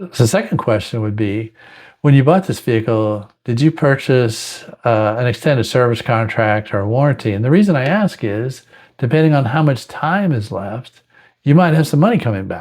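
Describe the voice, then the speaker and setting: Someone with an American accent talks at a moderate pace with lively intonation. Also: man, medium pitch for a man. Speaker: car sales trainer. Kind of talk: tutorial. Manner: casual, with filler words.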